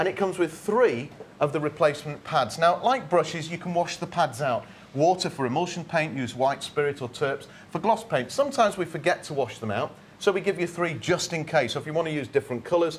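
With light background noise behind him, a man speaks at a fairly quick pace in a high voice with lively intonation. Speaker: product demonstrator. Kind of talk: sales demonstration. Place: studio. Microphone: lapel.

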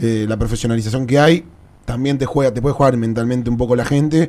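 A man with a Rioplatense accent speaks at a fairly quick pace in a medium pitch. His tone is dark and mellow, with fairly even intonation. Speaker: sports show host. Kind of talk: interview.

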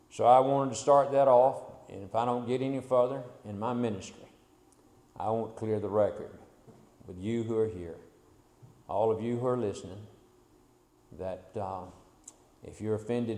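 Speaking at a moderate pace, a man has a dark, mellow tone and ordinary pitch variation. Audible room echo is present. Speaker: preacher. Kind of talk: sermon. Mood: humble, apologetic. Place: church. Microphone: podium.

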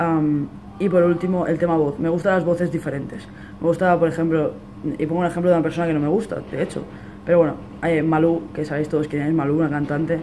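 A man talks at a fast pace with few pauses, his pitch fairly high and moving little. His tone is dark and mellow, with faint background noise.

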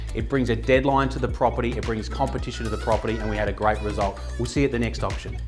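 A man talks with hardly any pauses in a very deep, low voice. Clear music plays in the background. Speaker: auctioneer. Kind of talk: casual talk to camera. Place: home room. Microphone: lapel.

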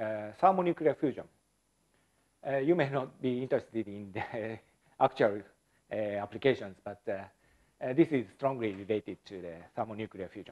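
A man speaks at a moderate pace with a quiet background. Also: big swings in loudness. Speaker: speaker. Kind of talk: lecture. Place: hall.

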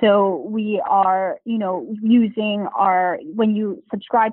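A woman with an American accent uses a normal speaking voice, pitched fairly high with ordinary pitch variation. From Taiwan and the US. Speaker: startup founder and CEO. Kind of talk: interview.

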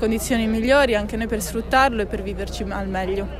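A woman speaks very fast with fairly even intonation. The sound is dry and echo-free, with noticeable background noise. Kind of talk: interview answer. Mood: earnest, assertive. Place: street.

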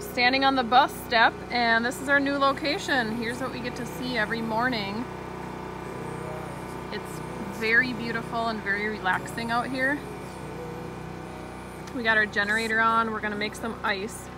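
A woman speaks at a moderate pace with long, frequent pauses, the sound dry with no echo and noticeable background noise behind her. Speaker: family travel vlogger. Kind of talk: casual vlog chat. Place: open country. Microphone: phone near.

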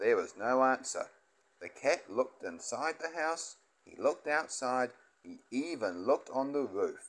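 Text read out plainly.

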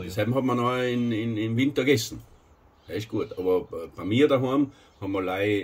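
A man's intonation is lively as he talks at a moderate pace. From South Tyrol, Italy. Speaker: host telling about old times. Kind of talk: interview answer. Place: home room. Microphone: camera far.

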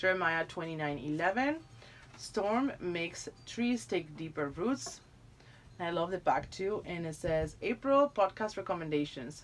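A woman with a non-native accent speaks very slowly at a fairly low pitch, her voice making very wide pitch swings. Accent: foreign-accented English. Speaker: YouTuber doing product unboxing. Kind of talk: unboxing review. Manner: animated. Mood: warm, delighted. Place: home room. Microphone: phone near.

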